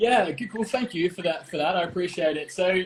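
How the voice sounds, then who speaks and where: A man's high-pitched voice, very fast, in an Australian accent. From Australia, Melbourne. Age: 30s. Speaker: TV host and producer. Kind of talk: casual interview.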